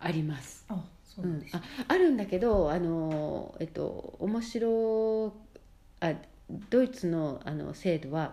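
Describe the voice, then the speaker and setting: A woman with a dark, mellow tone speaks at a very slow pace, leaving long, frequent pauses, with audible room echo. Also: fairly low pitch for a woman, lively intonation. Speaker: mother living abroad. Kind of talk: casual chat. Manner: halting, filler-heavy.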